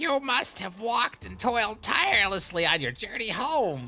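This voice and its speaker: A put-on character voice at a fairly high pitch, with faint music playing in the background. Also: moderate pace. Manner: less menacing, restrained.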